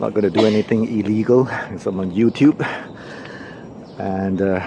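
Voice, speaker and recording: Over noticeable background noise, a man speaks fairly slowly at a fairly low pitch with fairly even intonation. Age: 60s. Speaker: hiking vlogger. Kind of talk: vlog narration while hiking. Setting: outdoors on a forest trail. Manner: casual, hesitant with fillers.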